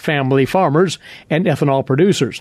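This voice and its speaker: A man's plain, everyday voice with lively intonation. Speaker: farm radio host. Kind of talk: radio program hosting. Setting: studio.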